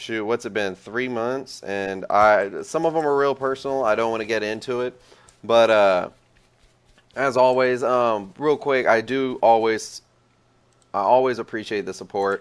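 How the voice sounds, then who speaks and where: A man with an ordinary speaking voice talks at a fairly slow pace. His pitch is medium and his intonation fairly even. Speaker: gaming video creator. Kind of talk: gameplay tutorial commentary; casual chat to viewers. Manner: casual, slangy.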